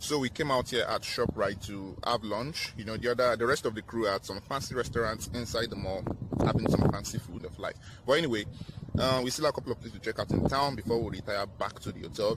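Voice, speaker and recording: A man at a very fast pace, dry sound with no echo, loud background noise. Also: ordinary pitch variation. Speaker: travel vlogger. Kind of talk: casual vlog chat. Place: street. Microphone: phone near.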